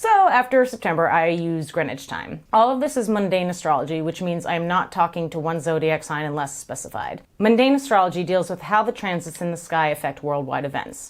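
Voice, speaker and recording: Barely pausing, a woman talks with lively intonation at a fairly low pitch. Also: fairly quick pace. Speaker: astrology podcaster. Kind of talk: scripted monologue. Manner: fast.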